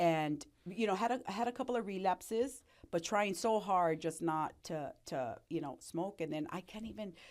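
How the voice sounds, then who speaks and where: Here is a woman with an ordinary speaking voice at a medium pitch. Her intonation is lively and her pace moderate. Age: 60s. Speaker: recovered addict and entrepreneur. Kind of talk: interview testimony.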